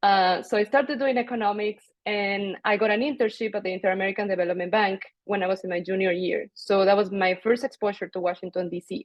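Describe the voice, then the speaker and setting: A woman talks at a very fast pace in a Spanish accent. Her medium pitch shows ordinary pitch variation. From Mexico. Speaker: international development professional. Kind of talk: panel discussion.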